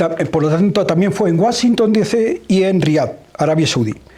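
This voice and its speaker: Over noticeable background noise, a man speaks at a moderate pace in a high pitch with ordinary variation. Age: 70s. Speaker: journalist interviewer. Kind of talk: book presentation interview. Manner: hesitant.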